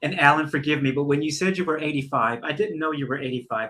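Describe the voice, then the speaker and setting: With a Southern US accent, a man rattles along at a very fast pace in a fairly high pitch and a bright, sharp tone. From US South. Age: 60s. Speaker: talk show host. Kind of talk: interview conversation. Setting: live stream.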